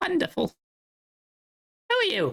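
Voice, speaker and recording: Someone speaks in a squeaky, put-on character voice. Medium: actual play. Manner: chipper, repetitive.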